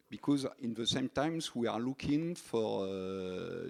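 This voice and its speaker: Very slow and lively in intonation, a man at medium pitch speaks with a French accent. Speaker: energy company engineer. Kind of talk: panel talk. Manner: halting.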